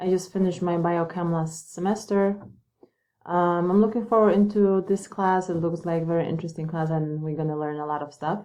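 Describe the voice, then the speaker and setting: A woman speaks with a Polish accent at a fairly quick pace. Her pitch is fairly low, her tone dark and mellow, her intonation fairly even. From Poland. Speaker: nursing student. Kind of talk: self-introduction. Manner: hesitant, many fillers.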